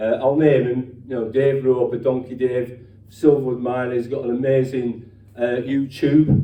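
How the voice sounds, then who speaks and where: In a Yorkshire accent, a man with a dark, mellow tone and medium pitch speaks at a moderate pace with monotone, flat intonation and audible room echo. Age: 60s. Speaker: ex-miner and activist speaker. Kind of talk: speech at a rally or meeting. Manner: halting, repetitive false starts.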